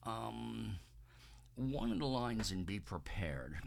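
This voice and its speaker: Amid audible room echo, a man talks at a fairly slow pace. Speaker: amateur singer documenting vocal training. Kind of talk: video diary. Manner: hesitant, many fillers.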